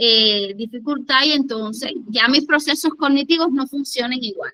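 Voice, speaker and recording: This woman speaks in a Cuban accent with a bright, sharp tone, a high pitch, and lively intonation. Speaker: conference speaker, education and grief specialist. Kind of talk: lecture.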